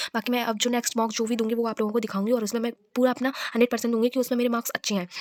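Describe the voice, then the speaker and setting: Recorded dry and close with no echo but with noticeable background noise, a woman speaks at a fairly high pitch in a monotone, flat intonation. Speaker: vlogger and bank exam aspirant. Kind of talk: casual vlog. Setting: self-recorded on camera. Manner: loud; halting.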